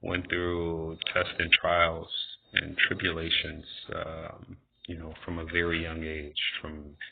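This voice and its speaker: Speaking very slowly in a very deep, low pitch, a man with an American accent keeps his intonation monotone and flat. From Wisconsin, Racine. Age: 30s. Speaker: singer auditioning for a talent show. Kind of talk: audition self-introduction video. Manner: halting, with many fillers.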